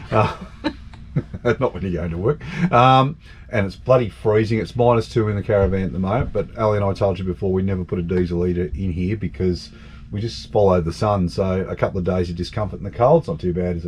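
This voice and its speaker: Very deep and low in pitch, a man with an Australian accent talks at a very fast pace in a somewhat breathy voice. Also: ordinary pitch variation. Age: 60s. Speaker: travel vlogger. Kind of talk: casual vlog talk to camera. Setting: outdoors.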